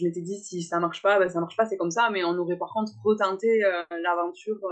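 A woman talks at a fairly quick pace in an ordinary speaking voice. Her pitch is medium and her intonation fairly even. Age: 20s. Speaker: florist and mother. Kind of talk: interview testimony.

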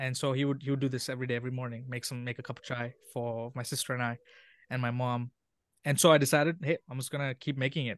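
In a quiet background and a dry, close sound with no echo, a man at medium pitch speaks very fast in a flat monotone. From Sri Lanka, then Oman from 12 to 19. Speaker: social media coordinator and chai video creator. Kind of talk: casual interview conversation.

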